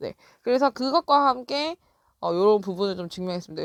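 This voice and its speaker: A woman with a fairly high pitch talks at a fairly quick pace, her pitch swinging very widely, in a dry, close, very clean recording with no echo and a silent background. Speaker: English teacher. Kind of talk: lecture.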